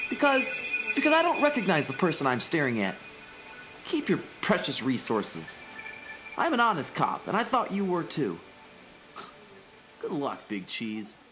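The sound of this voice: A woman uses a put-on character voice, low in pitch with a fairly bright tone and very wide pitch swings. She speaks at a fairly slow pace with long, frequent pauses, amid audible room echo and faint music in the background.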